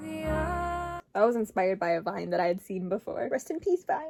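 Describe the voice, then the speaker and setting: Music plays in the background. A woman with an Upper Midwest accent speaks at a fairly slow pace. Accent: Upper Midwest American. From Minnesota, USA. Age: 20s. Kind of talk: casual talk to camera.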